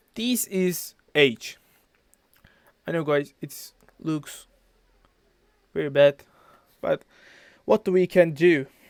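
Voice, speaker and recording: A man with a non-native accent and a fairly high pitch talks at a very slow pace with long, frequent pauses, the sound dry and close with no echo. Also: ordinary pitch variation. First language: not English. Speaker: physics tutor. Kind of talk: tutorial. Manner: halting.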